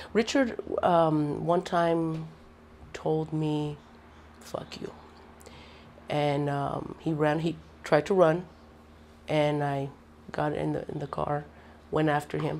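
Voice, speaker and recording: Her voice is very deep and low, and her intonation is flat and monotone. The woman speaks at a very slow pace, with long, frequent pauses. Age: 50s. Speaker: mother of the interviewee. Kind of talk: interview testimony.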